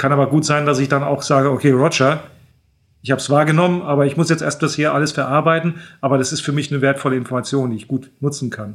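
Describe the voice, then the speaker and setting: Over a silent background on a very clean recording, a man talks very fast at a fairly high pitch with fairly even intonation. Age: 50s. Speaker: airline training captain. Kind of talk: expert interview. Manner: hesitant fillers (äh).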